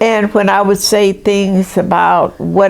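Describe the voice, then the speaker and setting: Over noticeable background noise, a woman with an American accent speaks fairly slowly at a medium pitch, her intonation monotone and flat. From US South. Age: 80s+. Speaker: retired nurse. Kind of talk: interview.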